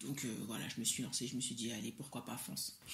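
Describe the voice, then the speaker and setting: Speaking fairly quickly, a woman with a West African accent sounds somewhat breathy. Room echo is audible. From Mali. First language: Soninke (speaking French). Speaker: entrepreneur, cosmetics brand founder. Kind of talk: interview. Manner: hesitant, many fillers.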